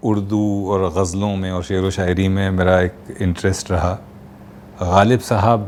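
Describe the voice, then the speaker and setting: Over noticeable background noise, a man talks with a very deep, low pitch in a monotone, flat intonation. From Kanpur, India. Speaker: voice artist. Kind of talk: interview answer.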